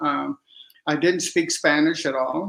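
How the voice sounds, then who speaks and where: A moderate pace in a Texan accent. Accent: Texan American English. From Texas, Dallas. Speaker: writer and artist. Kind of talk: interview. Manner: halting.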